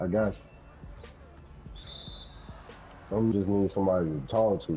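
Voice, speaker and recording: Music plays in the background as a man talks in a calm tone with a fairly low pitch. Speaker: online basketball game player in voice chat. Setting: online game voice chat. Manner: calm, laid-back.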